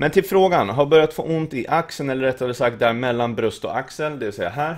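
With little sound behind him, a man speaks in a lively, varied intonation. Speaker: fitness streamer answering viewer questions. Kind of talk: livestream Q&A, reading questions and answering. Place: home room.

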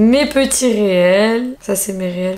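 Over light background noise, a woman talks at a fairly high pitch with fairly even intonation. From southern France, Marseille; southern France. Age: 30s. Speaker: influencer, YouTuber. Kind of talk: casual vlog. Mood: playful, self-mocking. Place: home room. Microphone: camera far.

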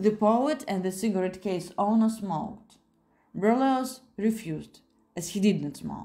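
In this plain reading aloud, the pitch varies in an ordinary way.

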